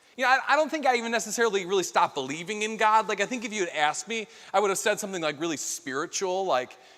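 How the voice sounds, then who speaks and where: A man's high, bright, sharp voice, raised and projected, in a Chicago accent at a very fast pace. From US Midwest, Chicago area. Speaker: keynote speaker. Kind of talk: keynote talk with personal testimony. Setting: stage with audience. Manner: casual, many fillers and restarts.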